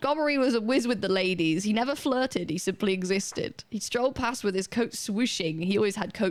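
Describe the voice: A plain reading aloud of text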